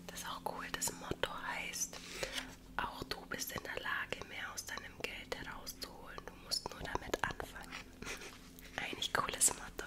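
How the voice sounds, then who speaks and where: A whispering voice with a relaxed tone moves along with long, frequent pauses. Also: woman, fairly slow pace. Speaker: ASMR creator. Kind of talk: ASMR book recommendations to camera. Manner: soft, relaxed, cozy, whispering. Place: home room. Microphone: studio mic.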